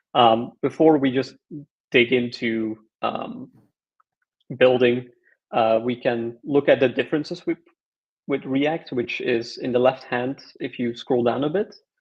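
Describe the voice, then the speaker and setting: A man's medium-pitched voice with a Flemish accent, fairly slow and fairly even in intonation, broken by long, frequent pauses. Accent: Belgian (Flemish) English. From Belgium. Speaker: open-source software maintainer. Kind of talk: technical tutorial chat.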